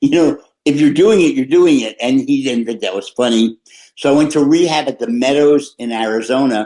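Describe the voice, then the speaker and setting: A man's fairly high, dark and mellow voice at a moderate pace. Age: 70s. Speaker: filmmaker in recovery. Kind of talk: interview testimony. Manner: halting, many restarts.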